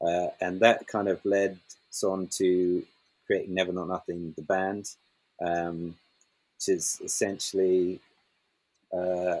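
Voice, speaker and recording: Very deep and low, a man's voice moves at a fairly slow pace. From Scottish Highlands. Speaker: musician and producer. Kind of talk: interview.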